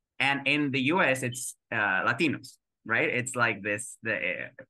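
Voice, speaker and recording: A man speaks with a Spanish accent, a bright, sharp tone and medium pitch. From Mexico. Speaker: actor. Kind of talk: interview answer.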